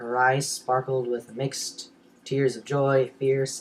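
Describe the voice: The clip is plain reading aloud.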